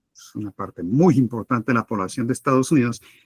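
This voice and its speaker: A man with a Spanish accent and ordinary pitch variation, in a dry, close sound with no echo. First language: Spanish (speaking Portuguese). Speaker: political analyst. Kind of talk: debate answer.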